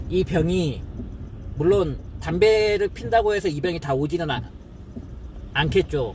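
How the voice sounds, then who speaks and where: Music plays in the background while the speaker moves at a fairly slow pace with long, frequent pauses. The pitch varies in an ordinary way. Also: man, high pitch for a man. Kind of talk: personal testimony to camera. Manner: halting, self-correcting.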